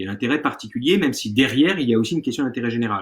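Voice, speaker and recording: Lively intonation from a man. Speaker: law lecturer. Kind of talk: online lecture. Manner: fast.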